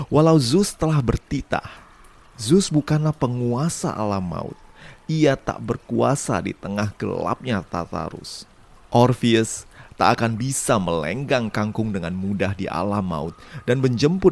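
Speaking at a fairly slow pace in a normal speaking voice, a man uses lively intonation at a medium pitch. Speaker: podcast storyteller. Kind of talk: scripted narration.

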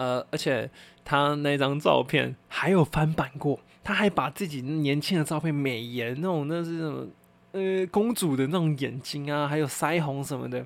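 An unremarkable speaking voice from a man, pitched fairly high and moving at a moderate pace. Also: ordinary pitch variation. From Taiwan. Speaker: podcast host. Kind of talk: casual solo chat.

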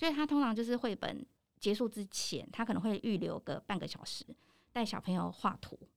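A woman speaks fairly quickly with vocal fry, a fairly high pitch and lively intonation, captured on a very clean recording with a silent background. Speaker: professional trainer and lecturer. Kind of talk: casual interview. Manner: animated, laughs often.

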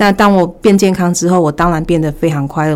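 A woman talks in a plain, everyday voice at a fairly low pitch with ordinary pitch variation. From Taiwan, Taichung. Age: 40s. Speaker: former retail manager. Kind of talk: personal testimony in interview.

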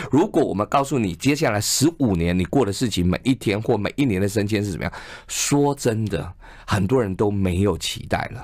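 A man's plain, everyday voice, fairly low in pitch, with lively intonation at a fairly quick pace, on a very clean recording with a silent background. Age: 50s. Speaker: advertising executive and author. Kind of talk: radio interview. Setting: radio studio.

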